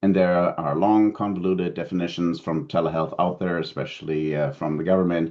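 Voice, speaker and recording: A man with a German accent speaks at a fairly quick pace. His pitch is very deep and low, with ordinary variation. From Germany. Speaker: telehealth consultant, keynote speaker. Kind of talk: conference keynote presentation. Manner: frequent fillers and self-corrections.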